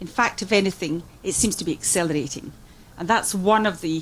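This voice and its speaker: A woman with a Scottish accent speaks at a medium pitch and a moderate pace. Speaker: music industry executive. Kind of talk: conference speech. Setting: conference forum with interpreters.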